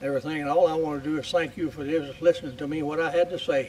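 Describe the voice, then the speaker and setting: A man talks at a very fast pace with a fairly high pitch. His intonation stays fairly even. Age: 80s+. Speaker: war veteran. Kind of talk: speech. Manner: halting.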